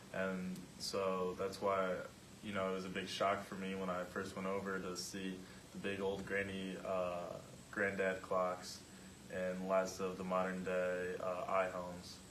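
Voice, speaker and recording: A man with an Upper Midwest accent speaks in a very deep, low pitch, monotone and flat, at a fairly slow pace. Noticeable background noise and audible room echo fill the recording. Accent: Upper Midwest American. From US Midwest, Michigan. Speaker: student athlete. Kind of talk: class presentation.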